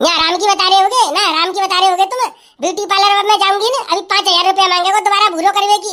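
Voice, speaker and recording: A woman does a cartoonish character voice at an extremely high pitch. She talks very fast, with hardly any pauses and fairly even intonation. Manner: blunt, rustic dialect.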